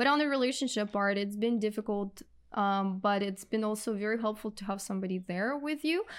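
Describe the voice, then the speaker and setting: A woman's fairly quick speech at a medium pitch with ordinary pitch variation, on a very clean recording with a silent background. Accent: Russian. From Russia. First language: Russian. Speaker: real estate investor. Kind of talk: podcast interview.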